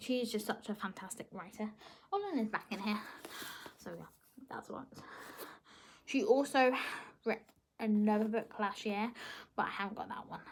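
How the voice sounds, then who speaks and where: Somewhat breathy, a woman speaks with fairly even intonation, big swings in loudness and long, frequent pauses. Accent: British. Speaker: book vlogger. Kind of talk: casual chat. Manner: fast.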